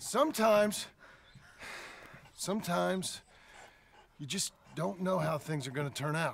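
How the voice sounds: A man uses a put-on character voice at a high pitch with vocal fry. He speaks slowly with lively intonation.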